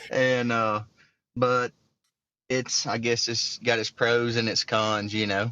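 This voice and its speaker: Here a man speaks at a very slow pace with long, frequent pauses. His medium-pitched voice has monotone, flat intonation. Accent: Southern US. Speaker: hunter. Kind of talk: casual chat.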